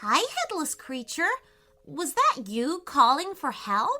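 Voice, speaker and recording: Fairly slow pacing in a put-on character voice. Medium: read story. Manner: polite, friendly.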